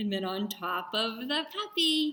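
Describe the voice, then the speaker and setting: Over background music, a woman speaks in a raised, projected voice. Her pace is very slow and her pitch swings very widely. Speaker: children's librarian. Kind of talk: craft tutorial for children. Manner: animated.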